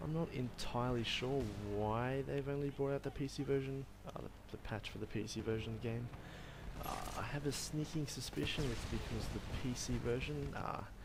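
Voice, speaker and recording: Noticeable background noise surrounds a man speaking at a moderate pace with an Australian accent. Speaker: university student. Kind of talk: gameplay commentary. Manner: casual, hesitant.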